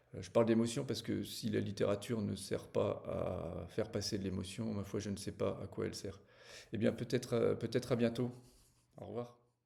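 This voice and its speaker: There is vocal fry in this man's dark, mellow, medium-pitched voice. He keeps a moderate pace and fairly even intonation. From small village. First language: not French (speaking French). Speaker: novelist. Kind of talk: book presentation to camera. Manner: hesitant, many fillers.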